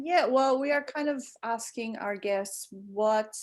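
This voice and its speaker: A woman talks at a very slow pace, and her pitch variation is ordinary. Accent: Portuguese. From Portugal and England (Lisbon, London). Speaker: writer and podcast co-host. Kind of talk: casual interview. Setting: video call.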